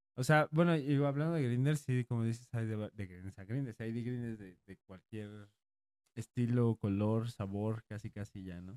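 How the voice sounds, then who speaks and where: An unremarkable speaking voice at a moderate pace, with ordinary pitch variation and big swings in loudness. The sound is dry and close, with no echo. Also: man. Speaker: podcast co-host. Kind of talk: casual chat.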